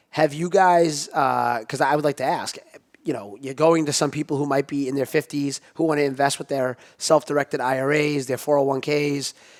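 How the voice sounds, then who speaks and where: A man with a normal speaking voice talks at a fairly quick pace and a fairly high pitch, with a dry, close sound and no echo. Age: 30s. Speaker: podcast host. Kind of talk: podcast interview. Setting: studio.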